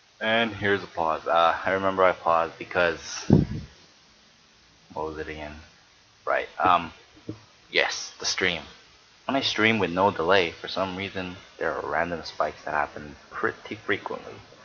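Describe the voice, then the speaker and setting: Over noticeable background noise, a man with a very deep, low voice speaks at a moderate pace in fairly even intonation, with long, frequent pauses. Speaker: amateur game commentator. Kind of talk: game replay commentary. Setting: home recording while streaming. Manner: projecting louder than usual.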